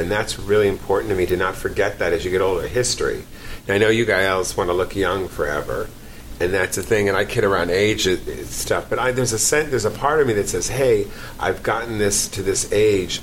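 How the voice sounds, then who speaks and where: A man with a New York accent talks at a fairly quick pace, fairly low in pitch, with ordinary pitch variation. His loudness stays very even over noticeable background noise. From New York, the Bronx. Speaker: actor and comedian. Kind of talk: casual chat. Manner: animated.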